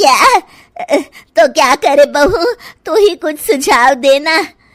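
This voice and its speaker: A woman uses a cartoonish character voice at an extremely high pitch. She speaks very slowly with lively intonation. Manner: blunt, familiar.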